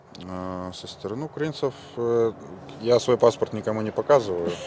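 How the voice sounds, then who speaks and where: A man talks at a moderate pace. Noticeable background noise runs beneath him. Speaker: volunteer fighter. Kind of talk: interview. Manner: hesitant, filler-heavy.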